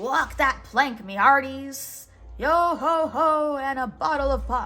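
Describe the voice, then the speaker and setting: Bellowing in a high-pitched put-on character voice, a woman projects loudly at a fairly slow pace over faint music in the background. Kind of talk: pirate speech. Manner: wild, roaring.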